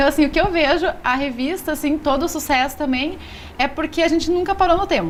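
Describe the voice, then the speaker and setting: This woman's pitch shows ordinary variation. She talks at a fairly quick pace. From Rio Grande do Sul, southern Brazil. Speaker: magazine publisher. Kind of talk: TV interview.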